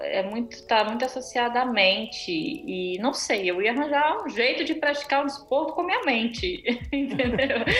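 A woman talks at a fairly slow pace in a high voice with very wide pitch swings. Audible room echo and noticeable background noise surround her. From Brazil. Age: 30s. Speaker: amateur triathlete. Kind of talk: casual interview.

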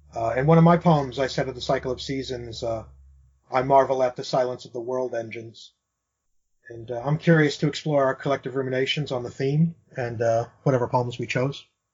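A man with an American accent talks at a fairly quick pace in a medium pitch. His voice is somewhat breathy, and his intonation stays fairly even. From United States. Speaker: podcast host. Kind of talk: podcast intro and poetry discussion.

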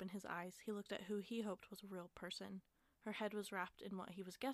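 In plain reading aloud, the intonation stays fairly even.

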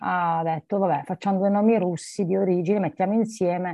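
At a moderate pace, a woman talks in an ordinary speaking voice with medium pitch. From Apulia, southern Italy (Barletta). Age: 40s. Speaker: lawyer and coach. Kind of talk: interview conversation.

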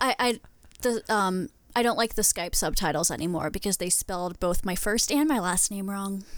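A woman with an American accent speaks in a normal speaking voice at medium pitch, with ordinary pitch variation and a moderate pace. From southwestern Pennsylvania. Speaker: podcast guest. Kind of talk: casual chat. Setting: video call.

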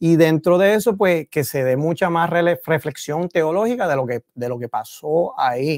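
Dry and close with no echo, a man with an ordinary speaking voice talks at a fairly slow pace, with lively intonation and hardly any pauses. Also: fairly high pitch for a man. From Puerto Rico, Río Piedras. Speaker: theologian. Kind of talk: casual chat.

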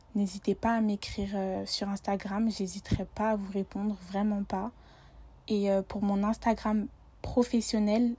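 A woman speaks very slowly in a dark, mellow, somewhat breathy tone with monotone, flat intonation. The recording is very clean, with a silent background. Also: medium pitch for a woman. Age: 20s. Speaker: student and personal shopper business founder. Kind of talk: casual interview.

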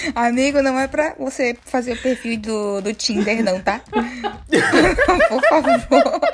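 Background noise is noticeable as a woman speaks at a very slow pace, with hardly any pauses. Her pitch is high and her intonation lively. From Bahia, Brazil. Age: 20s. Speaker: podcast co-host. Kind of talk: casual chat.

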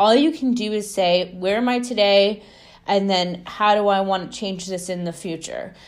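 Audible room echo surrounds a woman speaking at moderate pace with a medium pitch and ordinary pitch variation. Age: 20s. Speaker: spiritual podcast host. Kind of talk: solo monologue.

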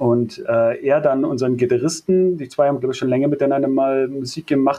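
A man speaks with a dark, mellow tone. His pitch is fairly high, and his intonation is fairly even. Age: 30s. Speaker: metal bassist. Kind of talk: casual interview.

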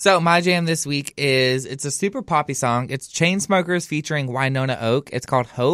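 A man with a Southern US accent talks at a moderate pace with hardly any pauses, his pitch fairly high and its variation ordinary. The recording is very clean with a silent background, the sound dry and close with no echo. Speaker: podcast co-host. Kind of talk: casual chat. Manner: animated.

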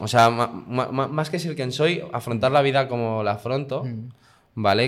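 At a moderate pace, an ordinary speaking voice comes through with ordinary pitch variation on a very clean recording with a silent background. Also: man. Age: 20s. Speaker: guest sharing personal experience. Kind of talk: casual interview.

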